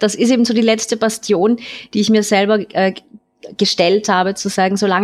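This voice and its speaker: A woman's voice holds a medium pitch, with pitch variation that is ordinary. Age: 30s. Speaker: caller. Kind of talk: casual chat.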